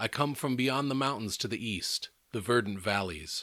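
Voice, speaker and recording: Moving at a moderate clip, the speaker performs in a put-on character voice. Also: man, medium pitch for a man. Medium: read story.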